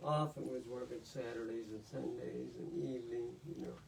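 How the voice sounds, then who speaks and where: There is audible room echo as a man speaks at a moderate pace and medium pitch. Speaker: author, retired lawyer. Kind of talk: casual chat at book event Q&A.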